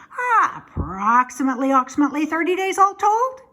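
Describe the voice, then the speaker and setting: A woman's put-on character voice, high-pitched, with very wide pitch swings. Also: fairly quick pace. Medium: read story. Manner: stammering, repeats words.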